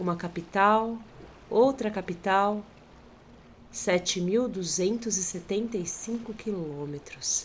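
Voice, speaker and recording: Speaking very slowly with a São Paulo accent, a woman's somewhat breathy, medium-pitched voice shows ordinary pitch variation and long, frequent pauses. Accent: São Paulo Brazilian. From Brazil, São Paulo. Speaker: documentary participant. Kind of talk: poetic narration.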